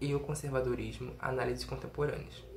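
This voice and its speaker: A man talks at a moderate speed, with audible echo from the room and noticeable noise in the background. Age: 20s. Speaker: undergraduate researcher. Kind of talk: recorded conference presentation. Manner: some hesitations and self-corrections.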